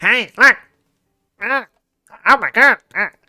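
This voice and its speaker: A nasal, high-pitched put-on character voice carries the clip. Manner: mocking.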